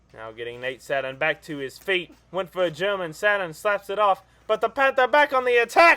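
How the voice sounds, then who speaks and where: A man's raised, projected, high-pitched voice with a bright, sharp tone, very wide pitch swings and big swings in loudness, in a dry, close sound with no echo. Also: fairly quick pace, hardly any pauses. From Britain. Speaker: wrestling commentator. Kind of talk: live commentary. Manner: animated.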